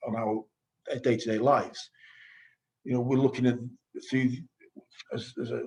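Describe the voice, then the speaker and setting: A man speaks at a medium pitch with monotone, flat intonation. He leaves long, frequent pauses. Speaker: energy business executive, panelist. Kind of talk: webinar panel discussion. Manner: fast; halting, many restarts.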